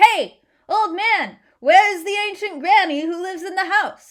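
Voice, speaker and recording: A woman uses a put-on character voice with an extremely high pitch, speaking at a moderate pace. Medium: read story. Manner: sly, crooning, sneering.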